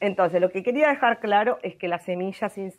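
Her pace fairly quick, a woman speaks at a medium pitch with ordinary pitch variation. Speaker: environmental science expert, weekly radio segment. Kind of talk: explanatory talk on radio.

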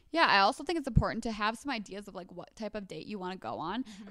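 The voice rushes along at a very fast pace with ordinary pitch variation. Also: woman. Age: 20s. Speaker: podcast co-host. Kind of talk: casual chat.

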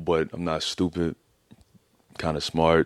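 Recorded very cleanly with a silent background, a man speaks with an American accent in a dry, close sound with no echo. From Philadelphia. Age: 30s. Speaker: author. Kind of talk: casual interview.

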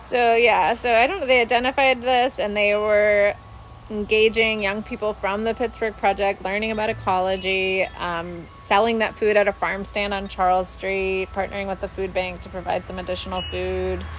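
Over music in the background, a woman at medium pitch speaks at a moderate pace with fairly even intonation and hardly any pauses. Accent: American. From Minneapolis, Minnesota. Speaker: food policy council director. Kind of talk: casual interview. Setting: outdoors.

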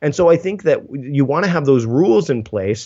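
A man with a Canadian accent speaks in an ordinary speaking voice at a medium pitch and a moderate pace, with ordinary pitch variation. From Canada. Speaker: productivity writer and speaker. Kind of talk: casual interview chat.

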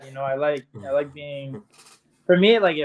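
A man at a moderate pace, with a fairly high pitch. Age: 20s. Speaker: reality TV star and celebrity boxer. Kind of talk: interview. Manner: laid-back, hesitant with many fillers.

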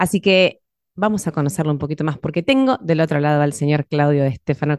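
This woman has a very deep, low pitch and talks at a fairly quick pace. The sound is dry and close, with no echo. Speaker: podcast host. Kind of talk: interview. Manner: radio announcer style.

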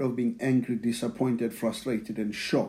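A man talks with a South African accent. His tone is dark and mellow. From South Africa (township near Pretoria). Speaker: church member sharing testimony. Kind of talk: testimony. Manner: repeats words, halting.

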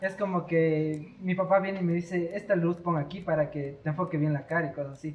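Through noticeable background noise, a man with a high pitch speaks at a moderate pace. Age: 20s. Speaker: camera operator. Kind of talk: casual chat.

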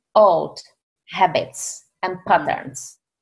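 A woman with a Czech accent and lively intonation. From Czech Republic. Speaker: author and success coach. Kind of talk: interview conversation.

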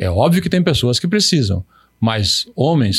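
The voice is somewhat breathy, with very wide pitch swings. The sound is dry and close, with no echo. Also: man. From Paraná, southern Brazil. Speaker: urologist. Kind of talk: interview. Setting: studio.

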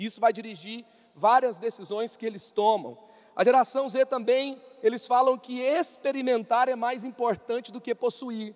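With an extremely high pitch, a man talks at a moderate pace with fairly even intonation and big swings in loudness. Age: 30s. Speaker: youth pastor. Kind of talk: sermon.

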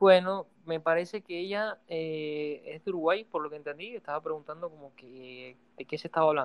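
Hardly any pauses break up the speech, which holds a moderate pace. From Venezuela. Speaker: podcast guest. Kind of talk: casual chat.

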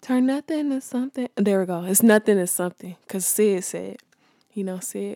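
A woman speaks in a dark, mellow tone with ordinary pitch variation. The sound is dry and close with no echo. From South Central Los Angeles, California. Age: 20s. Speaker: podcast host and multimedia artist. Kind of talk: casual monologue. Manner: casual, laughing often.

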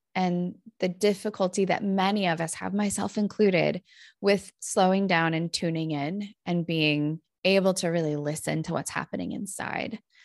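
A woman with an American accent and a normal speaking voice talks at a moderate pace and medium pitch with ordinary pitch variation, the sound dry and close with no echo over a quiet background. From Northern California. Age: 40s. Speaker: clinical psychologist and author. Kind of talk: interview, personal storytelling.

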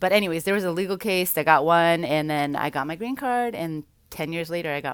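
At a fairly quick pace, a woman with an unremarkable speaking voice talks at a fairly low pitch. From Vancouver, Canada. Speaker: podcast guest, speaker. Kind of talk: casual chat.

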